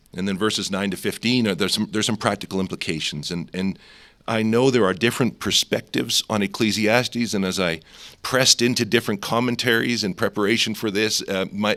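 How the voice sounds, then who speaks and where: Here a man talks very fast in a fairly low pitch. His tone is bright and sharp, his intonation fairly even. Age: 50s. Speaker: seminary president preaching. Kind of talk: sermon. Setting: chapel service.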